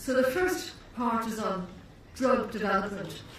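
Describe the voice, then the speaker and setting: A woman speaks at a fairly high pitch and fairly slow pace. Noticeable background noise and audible room echo surround her voice. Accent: Irish. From Ireland. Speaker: neurologist and professor. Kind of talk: conference lecture. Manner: deliberately slowed pace; hesitant, many fillers and restarts.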